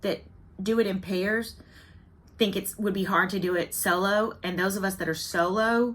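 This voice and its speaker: With a Southern US accent, a woman speaks fairly slowly in a medium pitch, her tone bright and sharp and her intonation fairly even. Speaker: cross-stitch video blogger. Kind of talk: casual chat. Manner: chatty, talkative.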